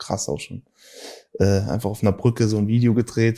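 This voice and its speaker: Heard in a very clean recording with a silent background, a man speaks with a dark, mellow tone. His pitch is fairly low, with fairly even intonation. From Germany, Saarland (Saarbrücken). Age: 30s. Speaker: rapper. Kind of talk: casual interview chat.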